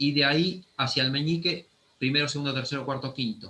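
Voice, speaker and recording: A fairly high-pitched man with an Argentine accent, at a moderate pace, with fairly even intonation. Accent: Argentine Spanish (Rioplatense). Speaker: anatomy teacher. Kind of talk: lecture.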